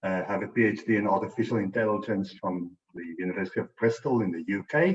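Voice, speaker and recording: Speaking very fast with a South African accent, a man uses a fairly low pitch and ordinary pitch variation. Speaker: data science educator. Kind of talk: presentation.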